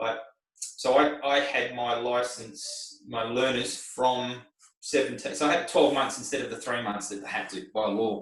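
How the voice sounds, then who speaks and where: In an Australian accent, a man of medium pitch talks at a fairly slow pace with ordinary pitch variation, and there is audible room echo. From Australia, Melbourne (Glen Waverley). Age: 50s. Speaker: race car driver and driving instructor. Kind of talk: interview. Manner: rambling, filler-heavy.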